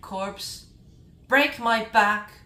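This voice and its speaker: A woman's voice comes with an audible room echo. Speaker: gaming YouTuber. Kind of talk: casual video monologue. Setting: indoor room, recorded video. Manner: slurring speech; halting, self-correcting.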